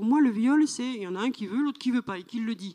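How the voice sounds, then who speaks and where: Speech comes at a fairly quick clip, and the pitch rises and falls in an ordinary way. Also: woman. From France, rural farming background. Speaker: novelist. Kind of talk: literary panel discussion. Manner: halting, repetitive.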